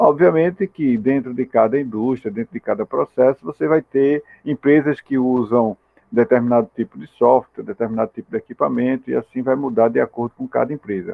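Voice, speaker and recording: Speaking at a fairly quick pace, a man uses medium pitch and ordinary pitch variation. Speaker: university lecturer in industrial automation. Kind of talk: lecture. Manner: informal, hesitant with fillers.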